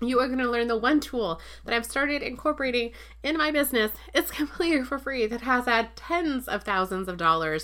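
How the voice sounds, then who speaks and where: A woman's high, bright, sharp voice with an animated tone and lively intonation at a fairly quick pace, on a very clean recording with a silent background. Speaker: podcast host and online business coach. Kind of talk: promotional episode teaser, sales pitch. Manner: fast talker; animated, casual, chatty.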